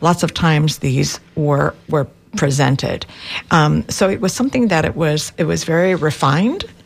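A woman with a very deep, low pitch talks at a moderate pace. Her loudness is very even, and there is noticeable background noise. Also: ordinary pitch variation. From Cuba-born, raised in Miami. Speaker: education professor and book author. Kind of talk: radio interview.

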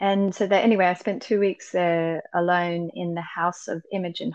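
Against a quiet background, a woman speaks with an Australian accent. Her fairly low voice keeps a fairly slow pace. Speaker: musician. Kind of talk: casual interview chat. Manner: animated, enthusiastic.

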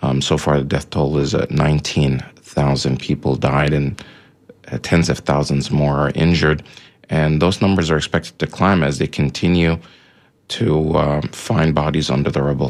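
Very deep and low, a man's voice holds very even loudness at a moderate pace. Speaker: radio host. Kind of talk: radio interview and discussion. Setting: radio studio. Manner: hesitant, many fillers.

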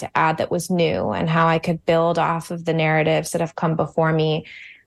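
A woman speaks in a Mid-Atlantic American accent at a fairly low pitch. The background is quiet. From Virginia, suburbs of Washington DC. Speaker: novelist and high school English teacher. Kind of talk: radio interview.

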